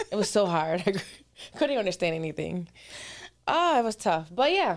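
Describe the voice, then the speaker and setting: At a moderate speed, a woman talks in a medium pitch. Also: lively intonation. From Puerto Rico, raised in US. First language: Spanish. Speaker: fitness coach, podcast co-host. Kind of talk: casual chat.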